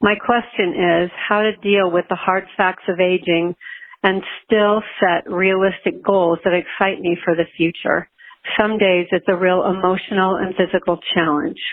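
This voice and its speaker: A woman in a plain, everyday voice speaks at a fairly slow pace, medium in pitch, with fairly even intonation and very even loudness. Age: 60s. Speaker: listener caller, runner. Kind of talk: recorded voicemail question.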